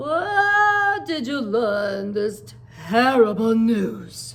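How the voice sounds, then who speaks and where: A woman's put-on character voice, fairly high-pitched and very slow, over light background noise. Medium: read story. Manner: measured, doubtful.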